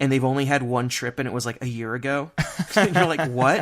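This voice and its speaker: In a very clean recording with a silent background, a man speaks at a moderate pace and fairly high pitch. He has a normal speaking voice. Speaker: theme park news writer. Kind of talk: casual podcast chat.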